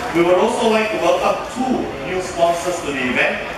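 With loud background noise and audible room echo, a man speaks at a moderate pace. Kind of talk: formal prepared speech. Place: hall.

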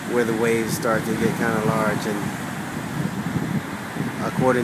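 Loud background noise fills a dry recording with no echo. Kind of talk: casual vlog chat. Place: beach. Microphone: phone near.

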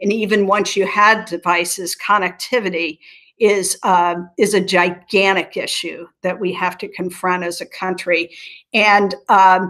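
A woman with an American accent speaks very slowly at a medium pitch, with fairly even intonation. Her tone is bright and sharp, and the background is quiet. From US Midwest, southern Ohio (Appalachian foothills); Ohio. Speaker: nonprofit chief executive. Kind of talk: interview. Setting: video call. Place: home room. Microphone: webcam.

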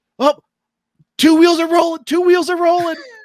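A put-on character voice, shrill and extremely high-pitched, with monotone, flat intonation.

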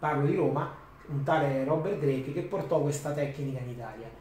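There is audible room echo and light background noise. A man speaks through it at a moderate pace. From Rome, Italy; Italy. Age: 50s. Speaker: DJ and author; DJ. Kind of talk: talk to students. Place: classroom.

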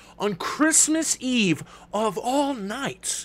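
A man's playful tone at an extremely high pitch, with very wide swings. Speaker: stand-up comedian and streamer. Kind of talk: stand-up comedy rant, improvised and profane, a Die Hard parody mashed with Harry Potter. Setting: live Twitch stream with chat and a kitchen-timer voice assistant. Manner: playful and self-aware, talks to the chat and asks for claps. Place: home room.

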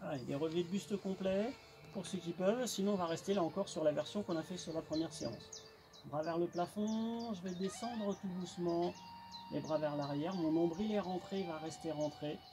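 With noticeable background noise behind him, a man speaks at a moderate pace in a high voice with ordinary pitch variation. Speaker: fitness instructor. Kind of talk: exercise tutorial instructions. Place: garden. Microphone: camera far.

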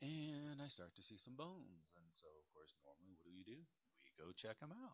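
A man's voice swings very widely in pitch while he keeps a moderate pace. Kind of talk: casual vlog chat. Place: forest. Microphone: phone near.

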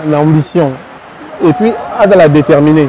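Lively intonation moves at a moderate pace in a dry sound with no echo, with light background noise. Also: man. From DR Congo. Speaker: singer; guest. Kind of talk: interview. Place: street.

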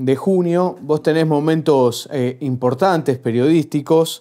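At a very slow pace, a man speaks with a fairly high pitch. His tone is dark and mellow. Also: quiet background. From Argentina. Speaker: interviewer. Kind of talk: interview. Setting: university. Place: studio.

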